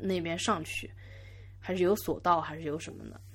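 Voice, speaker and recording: In a very clean recording against a silent background, a woman speaks at a fairly quick pace. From Yangzhou, Jiangsu, China. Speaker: podcast host. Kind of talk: solo podcast monologue. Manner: halting, many fillers and repeats.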